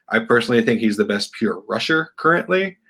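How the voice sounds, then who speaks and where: An unremarkable speaking voice with an American accent goes at a moderate pace with ordinary pitch variation. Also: man. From Texas. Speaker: sports fan guest. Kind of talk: casual chat.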